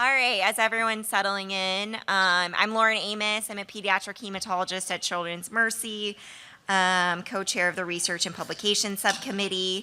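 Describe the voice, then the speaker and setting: A woman speaks at a medium pitch in a bright, sharp tone with monotone, flat intonation, in a very clean recording with a silent background. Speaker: pediatric hematologist. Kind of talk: conference presentation. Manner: fast.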